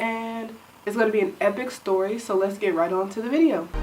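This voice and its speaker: Amid audible room echo and noticeable background noise, a woman speaks at a fairly high pitch with ordinary pitch variation. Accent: American. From Michigan, Detroit. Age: 20s. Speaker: YouTuber, psychology student. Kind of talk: casual storytelling to camera. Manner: animated.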